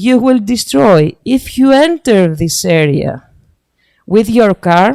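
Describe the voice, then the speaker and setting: A woman with a Greek accent at a medium pitch, with very wide pitch swings, in a dry, close sound with no echo. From Greece. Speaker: sustainable development expert. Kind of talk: slide presentation. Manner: halting.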